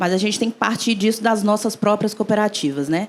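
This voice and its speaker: Her pitch variation is ordinary. The speaker is a woman. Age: young. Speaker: engineer and cooperative founder. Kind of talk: panel discussion.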